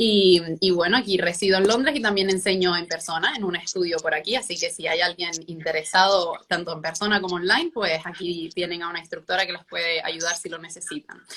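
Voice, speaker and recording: A woman with a Canarian accent, fairly low-pitched and fairly even in intonation, at a fairly quick pace with hardly any pauses, over noticeable background noise. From Canary Islands (Gran Canaria). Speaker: pilates instructor. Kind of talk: online interview.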